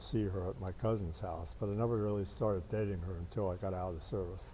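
A man with a Midwestern American accent talks at a fairly quick pace in a fairly low, somewhat breathy voice with a dark, mellow tone. His pitch varies in an ordinary way over light background noise. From Cincinnati area, Ohio. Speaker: war veteran. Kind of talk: oral history interview. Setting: veterans' hall. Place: hall. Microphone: lapel.

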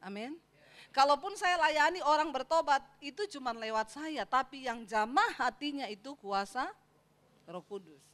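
Animated in tone, a woman talks at a high pitch and a moderate pace, with very wide pitch swings and big swings in loudness. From Sulawesi, Indonesia. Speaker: pastor. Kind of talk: sermon. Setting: church. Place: church. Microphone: handheld.

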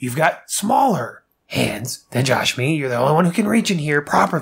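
This is a put-on character voice at a low-to-middle pitch. It moves at a moderate pace. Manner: exasperated, pleading.

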